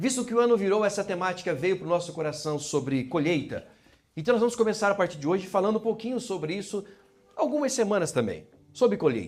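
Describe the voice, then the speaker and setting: A man with a high pitch talks at a very fast pace with lively intonation. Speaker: pastor. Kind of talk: sermon. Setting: church.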